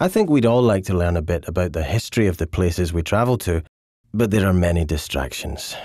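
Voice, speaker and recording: In a Scottish accent, a dark, mellow voice races along at a very fast pace with ordinary pitch variation, captured on a very clean recording with a silent background. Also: man, very deep, low pitch for a man. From Scotland. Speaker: documentary narrator. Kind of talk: scripted narration.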